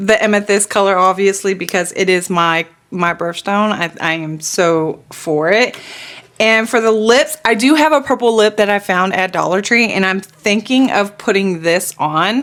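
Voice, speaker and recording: Over noticeable background noise, a woman with an American accent speaks at a moderate pace in a medium pitch, her intonation lively. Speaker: beauty vlogger. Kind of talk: makeup tutorial, casual chat. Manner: casual, chatty.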